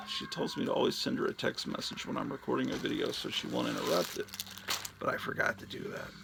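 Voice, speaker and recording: A man speaks very fast, and noticeable background noise is present throughout. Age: 50s. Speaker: comic book collector YouTuber. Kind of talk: casual unboxing monologue.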